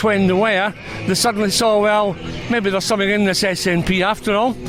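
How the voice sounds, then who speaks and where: A man with a Scottish accent and a high voice, over noticeable background noise. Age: 70s. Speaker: political activist at a rally. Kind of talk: interview.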